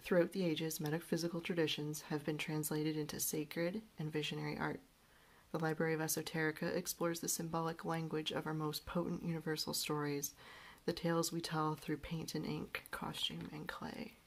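Talking at a fairly quick pace, a woman keeps a very deep, low pitch in a monotone, flat intonation. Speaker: book reviewer. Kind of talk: book review talk to camera. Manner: relaxed, hesitant with fillers.

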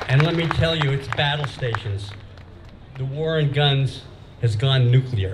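A man's medium-pitched voice at a fairly slow pace, with ordinary pitch variation, long and frequent pauses, and noticeable background noise. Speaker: gun rights activist. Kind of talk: rally speech. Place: hall. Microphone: podium.

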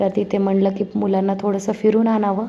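Her pitch sits in the medium range for a woman. She speaks with monotone, flat intonation. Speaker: family vlogger. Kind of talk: vlog voice-over narration.

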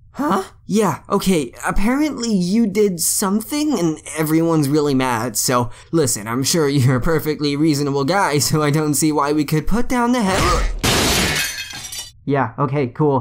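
A put-on character voice sits at a middle pitch. It moves at a moderate pace with hardly any pauses. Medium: dub. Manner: exasperated, shouting.

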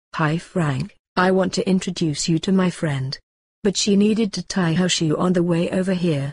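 A woman uses a cartoonish character voice at a moderate pace and medium pitch, with very even loudness. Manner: friendly, eager.

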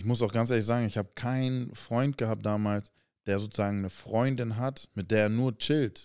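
Fairly even intonation at a moderate pace over a quiet background. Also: man. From Hamburg, Germany. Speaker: professional basketball player, podcast co-host; podcast co-host. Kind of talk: casual chat. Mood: relaxed, candid. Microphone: studio mic.

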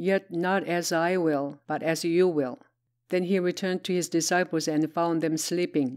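Over a quiet background, a woman speaks at a fairly slow pace with a fairly low pitch and fairly even intonation. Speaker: Bible reader; Bible narrator. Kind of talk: reading aloud. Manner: plain, non-dramatized reading.

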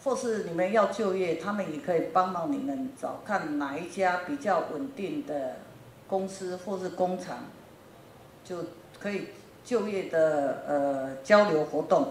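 Over light background noise and audible room echo, a woman speaks very slowly at a medium pitch with lively intonation. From Taiwan, New Taipei; Taiwan. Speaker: factory owner in Africa. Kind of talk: lecture. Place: classroom. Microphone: handheld.

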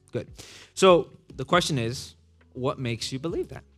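Faint background music under a man's moderately paced speech. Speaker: pastor teaching young adults. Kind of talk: interactive lecture. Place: hall.

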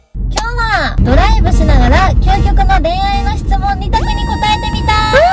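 A woman speaks with a Yamaguchi accent over loud background noise. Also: moderate pace. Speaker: driver and co-host. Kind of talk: casual chat while driving. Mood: playful, laughing. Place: car. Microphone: phone near.

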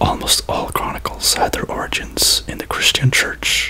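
A soft-spoken whisper moves at a moderate pace over light background noise. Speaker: reader. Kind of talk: reading aloud from a book. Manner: soft ASMR whisper reading aloud. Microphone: phone near.

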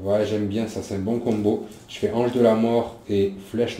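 Someone reads in a natural reading voice, keeping the intonation fairly even.

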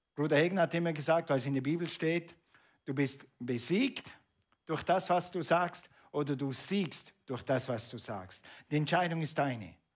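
This man's voice sits fairly high, and its pitch varies in an ordinary way. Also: moderate pace, quiet background. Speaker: preacher. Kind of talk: sermon. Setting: church. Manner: animated; conversational, asking the congregation questions. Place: church.

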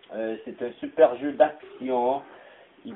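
A medium-pitched man with a Quebec accent at a very slow pace, amid noticeable background noise. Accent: Québécois French. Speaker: gaming YouTuber. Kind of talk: gameplay commentary. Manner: frequent exclamations and filler.

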